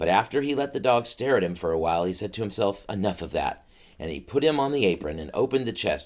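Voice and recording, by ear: This is someone reading aloud in a natural voice. The intonation is lively.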